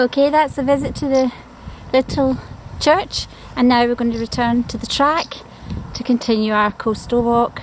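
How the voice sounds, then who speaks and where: Against noticeable background noise, a woman with a high pitch speaks at a moderate pace, leaving long, frequent pauses. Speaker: travel vlogger. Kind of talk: walking tour narration. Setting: outdoors on coastal walk. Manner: enthusiastic.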